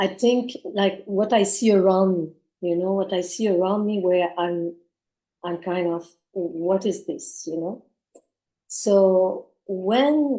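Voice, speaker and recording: In a French accent, a woman with a dark, mellow tone speaks at a very slow pace with ordinary pitch variation. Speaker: community gathering participant. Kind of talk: group discussion. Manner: halting.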